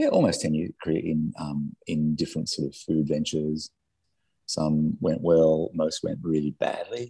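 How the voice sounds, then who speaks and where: A man at a moderate pace in a dry, close sound with no echo. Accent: Australian. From Australia, Sydney (north-west suburbs). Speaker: entrepreneur, company founder. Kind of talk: interview, casual conversation. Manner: hesitant, many fillers and restarts.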